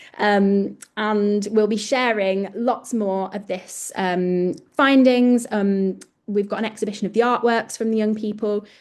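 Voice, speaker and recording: Her pitch medium and intonation fairly even, a woman speaks in an ordinary speaking voice at a fairly slow pace. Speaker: project presenter. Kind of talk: webinar presentation. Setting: online webinar with screen sharing.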